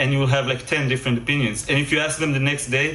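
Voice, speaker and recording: The voice has a slight Israeli accent. Audible room echo and noticeable background noise fill the recording. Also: man. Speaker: game developer and music composer. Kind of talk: conference lecture. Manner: hesitant, many fillers and repetitions.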